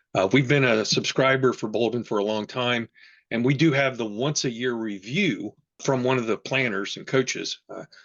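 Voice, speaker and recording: A man speaks in an ordinary speaking voice. His pitch sits in the medium range, and his pace is moderate. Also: ordinary pitch variation. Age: 60s. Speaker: retirement planning user group leader. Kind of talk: online panel presentation.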